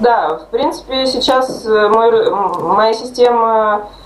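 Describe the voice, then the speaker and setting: Amid noticeable background noise and audible room echo, a woman speaks in a fairly high pitch. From Nizhny Novgorod, Russia. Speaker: interviewee who lost weight. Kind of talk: interview.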